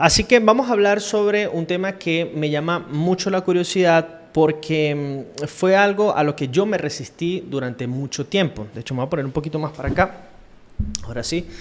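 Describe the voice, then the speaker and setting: A man speaks at a high pitch with lively intonation and a moderate pace. Noticeable background noise runs behind him. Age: 30s. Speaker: podcaster / self-reflection vlogger. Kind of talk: casual monologue, personal reflection. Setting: home recording on camera. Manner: hesitant, with fillers.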